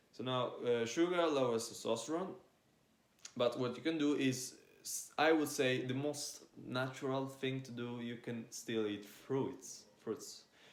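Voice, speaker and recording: A man speaks at a fairly slow pace with a medium pitch and ordinary pitch variation. Audible room echo surrounds his voice. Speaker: fitness influencer. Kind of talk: casual monologue.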